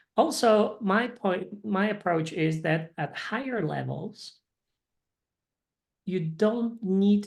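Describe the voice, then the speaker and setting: A woman with a Polish accent talks at a very slow pace. Her pitch is medium, with ordinary variation. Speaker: English teacher. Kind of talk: casual chat. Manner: halting.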